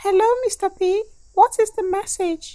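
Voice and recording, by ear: A squeaky, cartoonish character voice at a moderate pace. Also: female-sounding voice.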